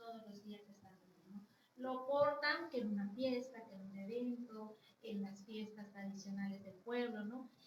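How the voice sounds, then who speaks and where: A woman's somewhat breathy, fairly high voice with a Yucatán accent, a fairly slow pace, fairly even intonation and big swings in loudness. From Yucatán, Mexico (Chumayel). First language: Yucatec Maya (speaking Spanish). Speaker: Maya rights advocate, professional. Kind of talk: interview conversation.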